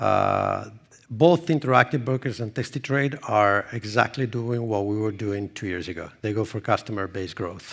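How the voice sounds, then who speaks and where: On a spotless recording with total silence behind him, a man talks at an unhurried but not slow rate. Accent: Italian. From Italy. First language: Italian. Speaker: marketing executive. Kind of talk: conference presentation; audience Q&A. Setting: stage with audience.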